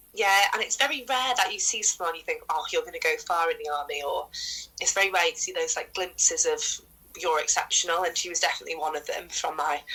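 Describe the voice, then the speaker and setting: Noticeable background noise sits behind a woman who speaks very fast. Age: 20s. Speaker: rugby league player and former soldier. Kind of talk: podcast interview.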